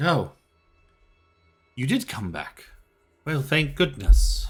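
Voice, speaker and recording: A man does a put-on character voice at a fairly high pitch and a very slow pace. Faint music plays in the background. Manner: relieved, welcoming.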